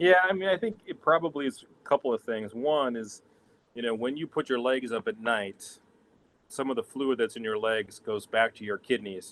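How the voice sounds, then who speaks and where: The dry, close sound with no echo carries a man at medium pitch, speaking at a moderate pace with lively intonation and big swings in loudness. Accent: American. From New Hampshire, US. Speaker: urologist. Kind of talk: Q&A answers in a health talk. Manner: casual, halting with fillers.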